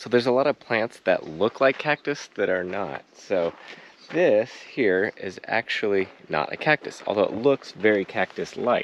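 With light background noise and a dry sound free of echo, a man talks at a moderate pace with lively intonation. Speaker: travel vlogger. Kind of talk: casual vlog chat, explaining plants. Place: garden. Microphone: phone near.

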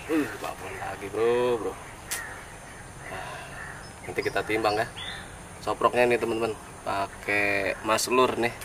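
Through noticeable background noise, a man with a medium pitch and fairly even intonation speaks at a very slow pace. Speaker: fishing vlogger. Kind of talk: casual fishing vlog chat. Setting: outdoors at fishing spot.

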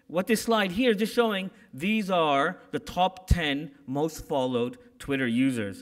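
The background is quiet. A man speaks with a high pitch and lively intonation. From Canada. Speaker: corporate security executive; keynote speaker. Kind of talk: keynote speech. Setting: conference stage with audience. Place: hall. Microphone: podium.

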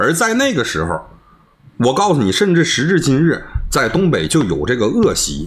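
With a Northeastern Chinese accent, a man speaks at a moderate pace in a fairly high pitch, with very wide pitch swings and vocal fry. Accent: Northeastern Mandarin. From Northeast China. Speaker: livestreamer. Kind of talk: heated debate. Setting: video call. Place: home room.

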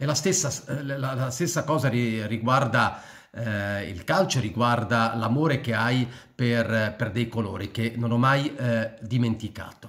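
Speech comes at a very slow pace with ordinary pitch variation against a quiet background. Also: man, medium pitch for a man. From born in Switzerland, returned to Italy at 14. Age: 60s. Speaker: political commentator / YouTuber; political commentator, YouTuber. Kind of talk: personal monologue to camera. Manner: halting, many fillers and repetitions. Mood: reflective, somber tribute. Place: home room. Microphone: phone near.

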